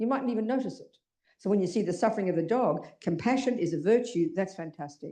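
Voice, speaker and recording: Talking at a very fast pace, a woman with an Australian accent has a dark, mellow tone. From Australia (Melbourne). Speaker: Buddhist nun teacher. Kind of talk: dharma talk to audience. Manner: animated.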